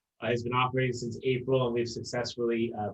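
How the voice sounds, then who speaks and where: The speaker sounds somewhat breathy and talks at a very fast pace. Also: man. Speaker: mayor. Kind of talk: panel discussion.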